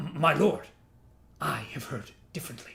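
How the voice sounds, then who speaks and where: Using a put-on character voice, a man speaks at a moderate pace with a raspy sound. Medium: read story. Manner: deferential, stammering.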